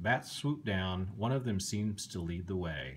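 There is light background noise as a man, somewhat breathy, speaks at a fairly slow pace in a very deep, low pitch. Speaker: bedtime story reader. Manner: slow, animated, dramatic pauses with suspenseful emphasis and gasping character voices; gentle, soothing, kid-friendly, coaxing the listener along. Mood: calm, gently spooky storytelling. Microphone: phone near.

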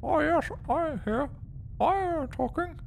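A put-on character voice, high in pitch, speaks at a fairly slow pace over clear background noise. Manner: talking with lips held still.

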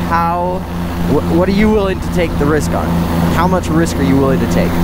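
A man's voice sounds dry with no echo while loud background noise goes on. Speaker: paramotor pilot instructor. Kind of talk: tutorial. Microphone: headset.

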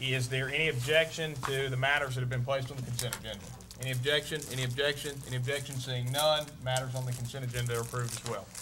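With a Southern US accent, a man talks at a very fast pace in a monotone, flat intonation over noticeable background noise. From US South. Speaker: mayor chairing city council meeting. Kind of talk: formal public meeting. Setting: council chamber. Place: meeting room. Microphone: podium.

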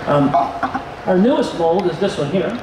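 With clear background noise behind him, a man speaks at a moderate pace, his high pitch moving in lively intonation.

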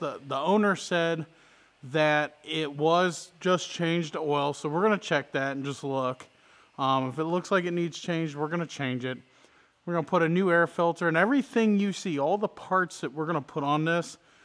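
The speaker is a man talking at a moderate pace. His pitch varies an ordinary amount. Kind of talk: casual vlog chat. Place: garage.

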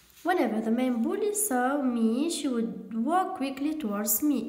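In a Tunisian accent, a woman talks at a high pitch with very wide pitch swings, very even loudness and hardly any pauses, over light background noise and audible room echo. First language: Tunisian Arabic (speaking Arabic). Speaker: English teacher. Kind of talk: lecture. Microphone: phone near.

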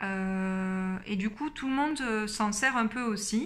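At a very slow pace, a woman with a fairly high pitch and a bright, sharp tone speaks with ordinary pitch variation. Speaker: book YouTuber. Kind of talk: casual book review vlog. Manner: many hesitations (euh). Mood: calm, engaged. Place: home room. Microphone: phone near.

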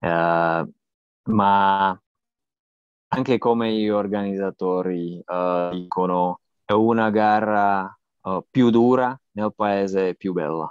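Over a quiet background with dry sound and no echo, a man with a non-native accent speaks very slowly in a fairly low pitch, with fairly even intonation and long, frequent pauses. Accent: non-native Italian. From Slovakia. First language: Slovak (speaking Italian). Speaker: cycling journalist and podcaster; cycling journalist, podcaster. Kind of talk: interview. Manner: halting, many fillers. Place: home room. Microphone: earbuds.

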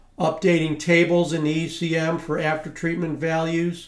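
The delivery is monotone and flat at a fairly slow pace. The room echo is audible over a quiet background. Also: man. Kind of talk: tutorial.

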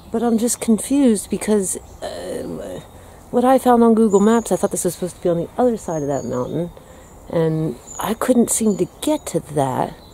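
Her pitch swinging very widely, a woman talks at a moderate pace in a dry sound with no echo, with light background noise. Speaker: vlogger exploring. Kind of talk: casual vlog chat. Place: forest. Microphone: phone near.

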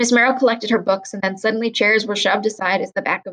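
The clip has a natural reading voice. That voice carries the whole recording.

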